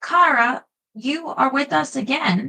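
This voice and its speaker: Using a put-on character voice, the speaker goes at a fairly slow pace. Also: woman. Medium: read story. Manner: dry humor.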